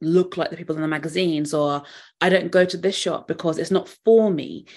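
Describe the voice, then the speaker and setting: A woman with a southern English accent, fairly low in pitch, at a moderate pace with fairly even intonation, against a quiet background. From England. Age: 30s. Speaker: fashion psychologist. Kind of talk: interview.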